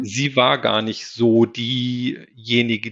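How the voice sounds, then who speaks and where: This is a man speaking at a medium pitch. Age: 40s. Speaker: single father. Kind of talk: interview. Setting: virtual podcast studio, remote call.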